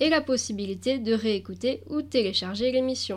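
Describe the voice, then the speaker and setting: A woman's ordinary speaking voice, fairly high in pitch, with ordinary pitch variation and a fairly slow pace. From Alsace, France. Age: 20s. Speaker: volunteer. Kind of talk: scripted radio reading.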